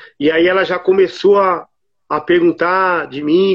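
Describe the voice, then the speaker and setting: A man talks in a monotone, flat intonation. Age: 50s. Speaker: electrician. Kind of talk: testimony.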